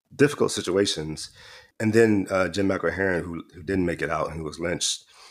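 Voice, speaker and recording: On a very clean recording with a silent background, a man talks at a fairly quick pace. He has an American accent and ordinary pitch variation. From Houston, Texas. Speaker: poet and educator. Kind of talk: casual interview conversation.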